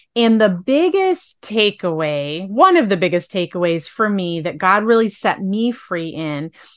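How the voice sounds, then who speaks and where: A woman at a moderate pace with very wide pitch swings, over a quiet background. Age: 40s. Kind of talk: interview podcast, faith-based.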